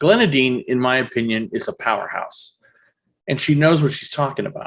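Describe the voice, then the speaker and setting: A fairly high-pitched male voice with lively intonation. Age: 40s. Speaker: podcast host. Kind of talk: scripted narration; interview.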